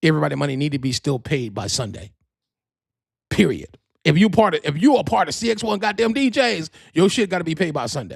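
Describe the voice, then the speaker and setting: Quick-paced and animated, the voice carries vocal fry and very wide pitch swings. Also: man. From New Jersey. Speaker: podcast host and DJ event organizer. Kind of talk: casual livestream announcements. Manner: fast.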